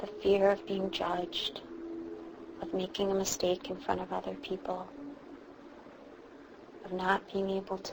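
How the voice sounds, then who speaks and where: Fairly slow speech from a woman, with noticeable background noise. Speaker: meditation guide. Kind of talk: guided meditation. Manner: slow, soft-spoken.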